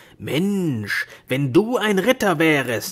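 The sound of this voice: In a very clean recording with a silent background, a man performs a put-on character voice at a fairly high pitch. He goes at a slow pace with big pitch swings and a slightly husky edge.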